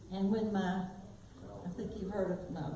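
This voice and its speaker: Audible room echo and noticeable background noise surround a woman of medium pitch speaking at a moderate pace with a South Carolina accent. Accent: old Spartanburg. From South Carolina, Spartanburg. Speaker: singer. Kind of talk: casual storytelling to live audience. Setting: stage with audience in library.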